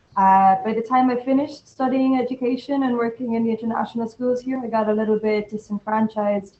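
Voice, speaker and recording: A woman with an Irish accent talks at a fairly quick pace. Her intonation stays fairly even. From Ireland, Limerick. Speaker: arts worker. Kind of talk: panel discussion.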